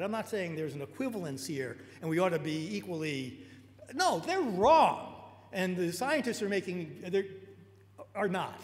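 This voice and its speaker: Audible room echo surrounds this recording. A man with a New York accent speaks at a high pitch. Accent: American, New York. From US Northeast, New York. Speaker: technologist and lecturer. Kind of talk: lecture. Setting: auditorium talk with live interpreter. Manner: fast; halting.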